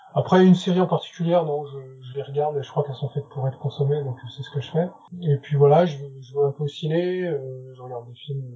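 The speech comes at a very fast pace with fairly even intonation. Its loudness swings widely. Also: man, fairly high pitch for a man. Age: 40s. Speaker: illustrator. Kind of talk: interview. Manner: halting.

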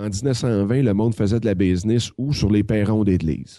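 A dark, mellow tone at a fairly slow pace over a quiet background. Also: man. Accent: Quebec. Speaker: web entrepreneur and business consultant. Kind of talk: casual chat.

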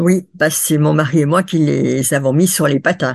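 A woman speaks with vocal fry at a very deep, low pitch against a quiet background. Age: 70s. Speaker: international roller racing judge. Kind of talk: interview. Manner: hesitant with frequent fillers.

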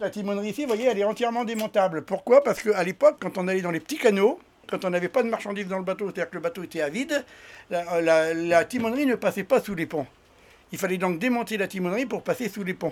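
A man speaks at a very fast pace and a high pitch, with ordinary pitch variation. The recording is very clean, with a silent background. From France, raised on barges on canals. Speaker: retired bargeman, museum volunteer guide. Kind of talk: interview and guided tour.

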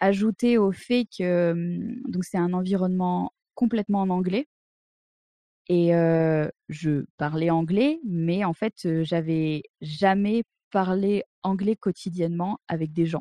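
A woman's dark, mellow voice at medium pitch, ordinary pitch variation, a very slow pace, and a dry, close sound with no echo. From France, Drôme (near Montélimar). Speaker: video game artist. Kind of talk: interview. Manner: hesitant, many fillers.

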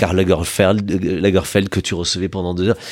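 The speaker is male. He talks at a very deep, low pitch. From southern France, Aveyron (Villefranche-de-Rouergue). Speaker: radio journalist and TV presenter, charity president. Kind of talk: casual interview chat. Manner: hesitant, repeats words.

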